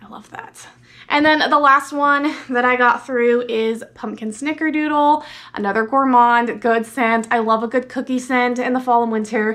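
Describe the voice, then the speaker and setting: A woman at a high pitch and moderate pace. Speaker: beauty and fragrance vlogger. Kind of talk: product review vlog. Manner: animated.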